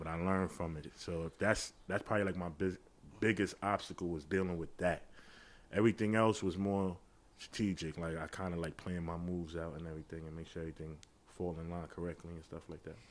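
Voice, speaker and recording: A man with an American accent, very deep and low in pitch, talking at a very fast pace with fairly even intonation. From New York, the Bronx (Castle Hill). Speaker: platform owner in battle rap. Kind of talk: podcast interview.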